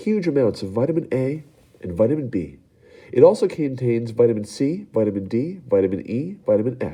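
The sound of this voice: The voice reads aloud in an unforced way.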